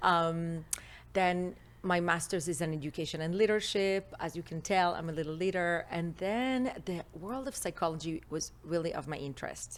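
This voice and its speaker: A woman with an Israeli accent speaks at a moderate pace with a fairly low pitch and ordinary pitch variation. The recording is very clean with a silent background. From Israel, Jerusalem. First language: Hebrew. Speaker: relationship expert. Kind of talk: interview. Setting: studio.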